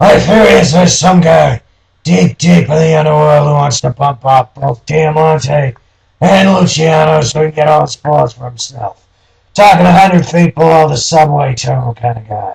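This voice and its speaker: Using a put-on character voice, a man speaks at a fairly high pitch and moderate pace with ordinary pitch variation, the sound dry and close with no echo. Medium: read story. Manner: world-weary, knowing.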